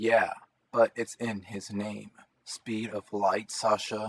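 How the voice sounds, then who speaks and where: A man puts on a character voice. He speaks very slowly at a fairly low pitch. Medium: read story. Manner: sarcastic, teasing.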